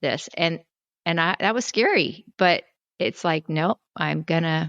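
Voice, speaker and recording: A woman with a normal speaking voice talks at a fairly slow pace and fairly low pitch, with ordinary pitch variation and a dry, close sound with no echo over a quiet background. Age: 60s. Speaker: health coach. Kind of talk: testimony.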